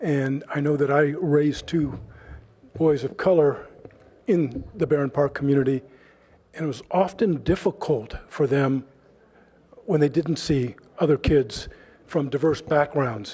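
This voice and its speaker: A man speaks in a dark, mellow tone at a fairly high pitch, with ordinary pitch variation and a somewhat breathy quality. His pace is fairly slow, and he pauses long and often. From California, Palo Alto area. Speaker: public commenter. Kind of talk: public comment speech.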